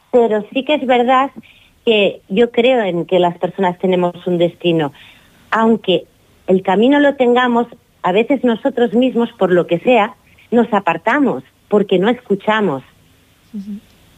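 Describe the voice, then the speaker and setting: Her intonation lively, a woman talks at a fairly slow pace in a fairly high voice, leaving long, frequent pauses. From Catalonia, Girona. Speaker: author. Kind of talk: radio interview.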